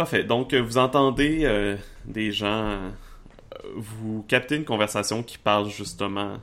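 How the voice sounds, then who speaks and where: A man with a fairly low pitch and ordinary pitch variation, speaking at a very slow pace. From Quebec, Charlevoix. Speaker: game master. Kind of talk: tabletop roleplaying game narration.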